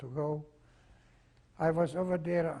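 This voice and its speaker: With a non-native accent, a man speaks at a moderate pace in a fairly high, somewhat breathy voice that is dark and mellow in tone. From Czechoslovakia. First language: not English (Czechoslovak region). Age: 80s+. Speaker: Holocaust survivor. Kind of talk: oral history testimony interview. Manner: halting, with frequent fillers.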